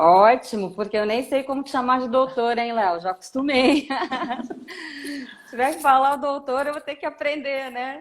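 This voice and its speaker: Moderate pace with long, frequent pauses, ordinary pitch variation and big swings in loudness. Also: woman, high pitch for a woman. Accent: Brasília. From Brazil, Brasília. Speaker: lawyer. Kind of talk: live stream interview. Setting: live stream.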